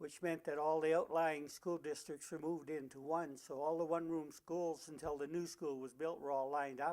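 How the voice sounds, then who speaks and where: A man with a fairly high pitch speaks at a moderate pace in a flat monotone, with hardly any pauses. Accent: Canadian Prairie. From rural Saskatchewan, Canada. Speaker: retired teacher. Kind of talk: oral history interview. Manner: halting, frequent uh fillers.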